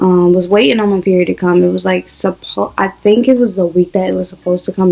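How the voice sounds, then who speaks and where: Noticeable background noise sits under a woman's medium-pitched voice with ordinary pitch variation. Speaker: vlogger. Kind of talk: casual vlog.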